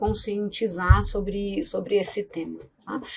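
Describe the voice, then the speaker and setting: The woman's voice sounds somewhat breathy. She talks at a very slow pace. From Rio de Janeiro, Brazil. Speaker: pediatrician. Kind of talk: interview. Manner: hesitant, many fillers.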